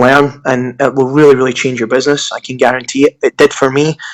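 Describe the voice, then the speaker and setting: Talking at a fairly quick pace, a man keeps a monotone, flat intonation. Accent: Scottish. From Scotland. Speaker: digital marketer. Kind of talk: podcast interview. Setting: Skype call.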